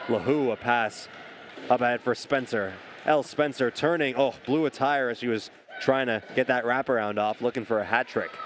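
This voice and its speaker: Speaking at a moderate pace, a man uses a normal speaking voice with medium pitch and fairly even intonation. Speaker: sports play-by-play announcer. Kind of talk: sports play-by-play commentary.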